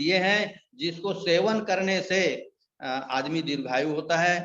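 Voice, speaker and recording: This man speaks with a high pitch and ordinary pitch variation, and the room echo is audible. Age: 70s. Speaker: ayurvedic product distributor. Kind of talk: sales pitch.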